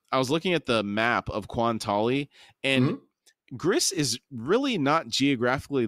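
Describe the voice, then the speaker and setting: A plain, everyday voice talks at a moderate pace with ordinary pitch variation, captured dry and close with no echo on a very clean recording with a silent background. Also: man. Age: 40s. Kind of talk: casual chat.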